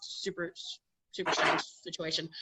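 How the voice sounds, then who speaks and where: Her voice bright and sharp, a woman speaks at a fairly quick pace and a medium pitch. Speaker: middle school agriculture teacher. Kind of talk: conference presentation. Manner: fast.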